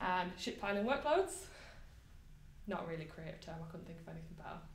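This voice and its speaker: A woman speaks very fast with big swings in loudness, and the room echo is audible. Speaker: software tester giving a meetup talk. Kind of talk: conference talk.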